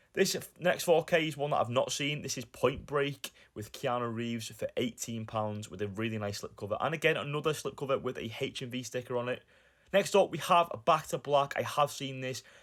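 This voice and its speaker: In a Lancashire accent, a man speaks at a fairly quick pace with a fairly high pitch. The recording is very clean, with a silent background. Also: ordinary pitch variation. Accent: northern English (Lancashire). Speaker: YouTuber, film collector. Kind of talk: vlog narration.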